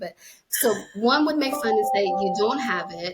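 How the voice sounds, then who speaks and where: This woman's voice swings very widely in pitch, and her tone is animated. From New Jersey, Puerto Rican family. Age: 40s. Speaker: podcast host. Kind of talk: casual chat.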